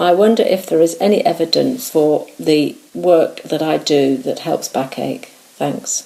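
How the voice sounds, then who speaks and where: Speaking at a fairly slow pace with hardly any pauses, a woman is heard over noticeable background noise. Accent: British. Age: 60s. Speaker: listener with a question. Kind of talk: recorded listener question.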